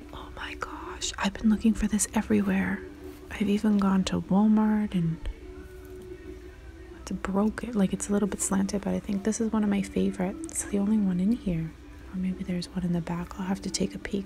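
Words come fairly quickly. Background noise is clearly audible behind them. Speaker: shopping vlogger. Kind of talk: casual vlog chat. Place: shop. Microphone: phone near.

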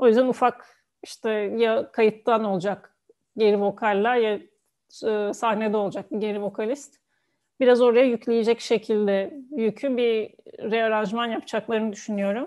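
A woman's fairly high voice, fairly slow and fairly even in intonation, against a quiet background. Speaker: music reaction youtuber, dancer and yoga teacher; music reaction youtuber, yoga teacher. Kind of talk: casual video reaction commentary. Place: home room. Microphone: earbuds.

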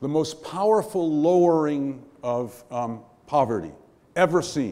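With an American accent, a man speaks in a dark, mellow tone with lively intonation. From New York. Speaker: panel moderator and professor. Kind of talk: panel moderation. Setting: stage with audience. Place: hall. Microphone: podium.

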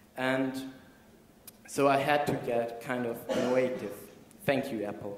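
A man at medium pitch for a man, fairly slow, with long, frequent pauses, fairly even intonation and audible room echo. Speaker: speaker; conference speaker. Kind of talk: presentation talk. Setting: stage with audience. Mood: light, humorous. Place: hall.

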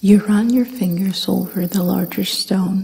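Soft-spoken delivery at a very slow pace. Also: woman. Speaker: ASMR guided meditation host. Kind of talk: guided meditation / sleep hypnosis narration. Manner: soft-spoken, slow, calming.

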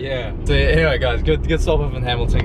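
A man talks at a fairly quick pace while loud background noise carries on. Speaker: vlogger. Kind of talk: casual vlog chat. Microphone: phone near.

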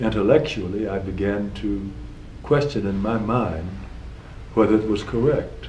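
A man with an American accent at a fairly low pitch, with audible room echo and light background noise. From South Carolina, USA. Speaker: retired federal judge, war veteran. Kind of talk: oral history interview answer. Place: office.

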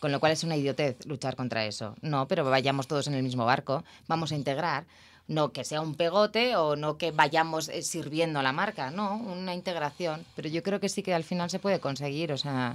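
At a moderate pace, a woman speaks in a very deep, low pitch with ordinary pitch variation. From Spain. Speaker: television producer; guest. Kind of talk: interview. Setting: studio. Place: studio. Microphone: studio mic.

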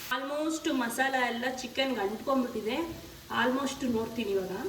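Noticeable background noise and audible room echo surround a woman whose high voice keeps fairly even intonation. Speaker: cooking vlogger. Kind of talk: cooking tutorial.

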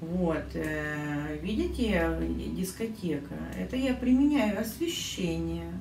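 Amid light background noise and audible room echo, a woman speaks at a very slow pace. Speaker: permanent makeup artist. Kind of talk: casual vlog talk to camera. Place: kitchen. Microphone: phone near.

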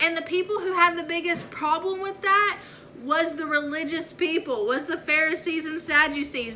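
A woman speaks at a high pitch. Her tone is bright and sharp.

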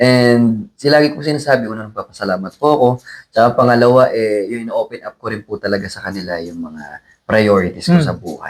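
At a fairly quick pace, a man with an unremarkable speaking voice uses lively intonation at a medium pitch, his loudness swinging widely. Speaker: singer. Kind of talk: interview.

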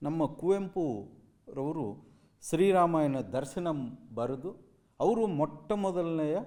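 Fairly high-pitched man's voice in a Telugu accent, with lively intonation. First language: Telugu (speaking Kannada). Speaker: university speaker. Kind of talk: commemorative speech. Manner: halting.

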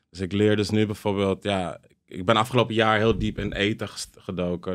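A man talks in a normal speaking voice at a fairly quick pace, fairly low in pitch and fairly even in intonation, over a quiet background. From Amsterdam, Jordaan; Netherlands. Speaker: DJ and content creator; DJ, content creator. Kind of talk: casual chat. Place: studio. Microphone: studio mic.

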